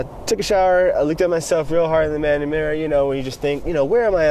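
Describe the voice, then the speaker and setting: A man with a fairly high pitch and ordinary pitch variation talks very fast, with noticeable noise in the background. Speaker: podcast host. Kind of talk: casual, conversational. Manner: fast talker.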